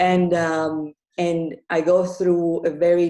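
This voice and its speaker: Speaking with a non-native accent, a woman has a dark, mellow tone, a fairly low pitch and monotone, flat intonation. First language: not English. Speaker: author and grief coach. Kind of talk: interview. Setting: live podcast with audience.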